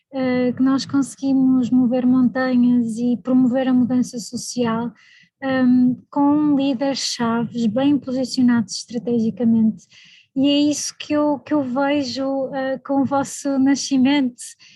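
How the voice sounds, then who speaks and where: A woman speaks with a European Portuguese accent and a high pitch. Her tone is dark and mellow, her intonation fairly even. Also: fairly slow pace. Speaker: evaluation specialist, invited speaker. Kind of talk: speech at online launch event.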